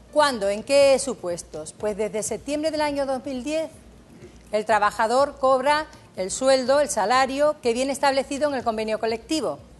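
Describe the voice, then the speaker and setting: This woman's voice sits at a high pitch. She keeps a moderate pace with ordinary pitch variation. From Andalusia, Jerez. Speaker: judge, labour law expert. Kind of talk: TV Q&A, expert explanation.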